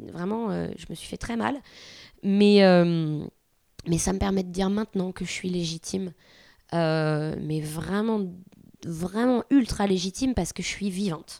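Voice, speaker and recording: Her tone dark and mellow, a woman speaks at a fairly slow pace with long, frequent pauses. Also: medium pitch for a woman, ordinary pitch variation. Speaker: artist and mother. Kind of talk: casual chat.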